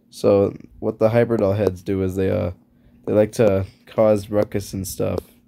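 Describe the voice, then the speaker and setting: Over music in the background, a man with a fairly low pitch speaks at a fairly slow pace in a monotone, flat intonation. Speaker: YouTuber. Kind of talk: casual drawing commentary. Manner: rambling, halting.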